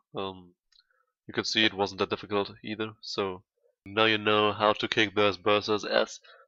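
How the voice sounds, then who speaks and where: A moderate pace in a German accent over a quiet background. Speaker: gaming YouTuber. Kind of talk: gameplay tutorial commentary. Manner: halting, many fillers.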